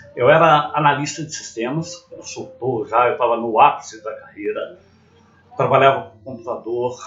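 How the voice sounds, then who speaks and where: Music sits in the background. Over it, a man talks in a fairly high pitch. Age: 50s. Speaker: former systems analyst, vlogger. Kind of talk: personal story monologue.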